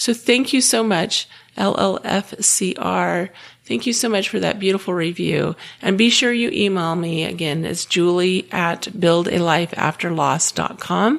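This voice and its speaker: A woman with vocal fry at a fairly slow pace. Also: ordinary pitch variation. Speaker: podcast host. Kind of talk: podcast monologue. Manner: some filler words and repetitions.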